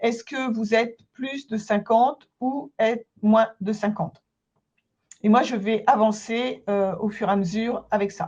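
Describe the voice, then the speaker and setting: Somewhat breathy and fairly high in pitch, a woman talks at a fairly slow pace with ordinary pitch variation. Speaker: consultant and trainer. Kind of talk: webinar presentation. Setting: online webinar.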